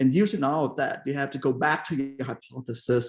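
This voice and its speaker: Captured in a very clean recording against a silent background, a man with a Vietnamese accent speaks at a moderate pace in a fairly high pitch. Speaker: keynote speaker, industry scientist. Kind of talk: keynote talk. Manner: frequent fillers and hesitations.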